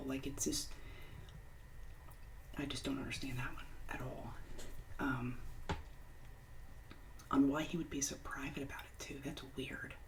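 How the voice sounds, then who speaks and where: Background noise is noticeable while the talking proceeds fairly slowly. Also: woman. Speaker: ASMR creator and stay-at-home mother. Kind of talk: ASMR Reddit story reading with casual commentary. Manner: casual, opinionated, conversational.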